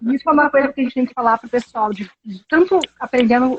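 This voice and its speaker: A woman talks very fast in a high pitch, with ordinary pitch variation. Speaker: English teacher. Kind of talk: casual chat.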